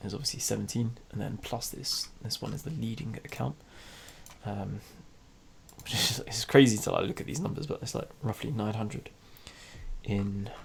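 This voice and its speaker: A man's medium-pitched voice with vocal fry, at a moderate pace, broken by long, frequent pauses. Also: ordinary pitch variation. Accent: British. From UK. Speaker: trading vlogger. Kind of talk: casual screen-share vlog. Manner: hesitant, many fillers.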